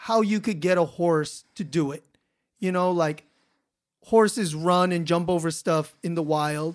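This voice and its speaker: Recorded very cleanly against a silent background, a man with a high pitch speaks with an American accent. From Los Angeles, US. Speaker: podcast host. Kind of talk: casual interview chat.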